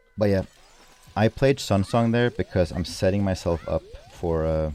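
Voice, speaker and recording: Over music in the background, a man with a Swedish accent speaks at a fairly slow pace in a very deep, low pitch, with ordinary pitch variation and a dry, close sound with no echo. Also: long, frequent pauses. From Sweden. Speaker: speedrunner streamer. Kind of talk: live commentary. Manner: casual.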